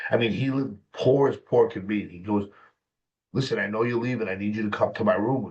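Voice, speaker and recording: A man with an American accent speaks at a fairly quick pace, his voice somewhat breathy. His loudness swings widely. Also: medium pitch for a man, ordinary pitch variation. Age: 50s. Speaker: mental health specialist and author. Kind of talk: personal testimony in interview.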